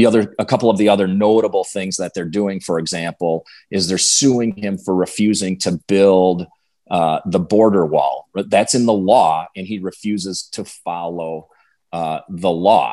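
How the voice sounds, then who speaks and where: Speaking with a Wisconsin accent, a man uses a very deep, low pitch and a dark, mellow tone, keeping fairly even intonation at a moderate pace. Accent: Upper Midwest (Wisconsin). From Western Wisconsin. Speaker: political candidate, former state legislator. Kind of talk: interview.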